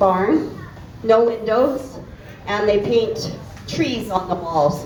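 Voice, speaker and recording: A woman with a Canadian accent speaks at medium pitch. Audible room echo and noticeable background noise are present. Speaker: animal welfare advocate. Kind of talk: informal talk to a volunteer group. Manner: loud. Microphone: cutting in and out.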